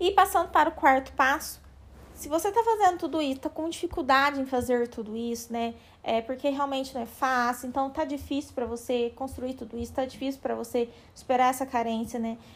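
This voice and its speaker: A woman talks at a fairly quick pace in a high pitch, with ordinary pitch variation. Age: 20s. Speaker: psychologist and podcast host. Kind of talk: casual therapeutic talk.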